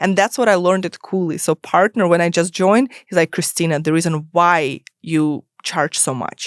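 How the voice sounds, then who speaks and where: A woman's fairly low voice with a non-native accent, ordinary pitch variation and a moderate pace, dry and close with no echo on a very clean recording with a silent background. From immigrant to US, non-English-speaking country. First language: not English. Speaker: startup lawyer. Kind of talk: podcast interview.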